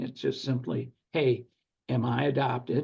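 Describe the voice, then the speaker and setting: A man speaks at a moderate pace and medium pitch with vocal fry. His intonation stays fairly even. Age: 70s. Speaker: securities attorney and former real estate syndicator. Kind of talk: podcast interview.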